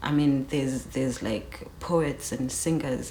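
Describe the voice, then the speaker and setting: In a South African accent, a woman speaks fairly slowly with a very deep, low pitch, a relaxed tone and fairly even intonation, over noticeable background noise. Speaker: rapper. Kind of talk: interview. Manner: relaxed, many fillers.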